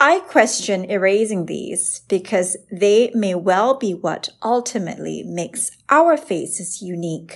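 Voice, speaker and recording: A woman with a normal speaking voice, medium pitch, lively intonation and a fairly slow pace. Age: 30s. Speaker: dermatologist and podcast host. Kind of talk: scripted narration. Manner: formal.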